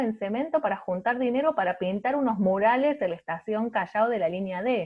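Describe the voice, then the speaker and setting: In a Rioplatense accent, a woman talks with a fairly high pitch and lively intonation. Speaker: art researcher. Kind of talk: panel talk.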